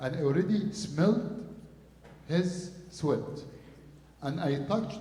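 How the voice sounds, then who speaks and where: Over audible room echo, a man with an Arabic accent talks at a very slow pace in a high pitch, with ordinary pitch variation. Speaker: priest. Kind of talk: sermon.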